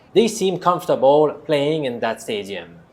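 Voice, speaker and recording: With a French accent, a man speaks using very wide pitch swings. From Quebec. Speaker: statistics professor and sports betting tipster. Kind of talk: scripted betting analysis.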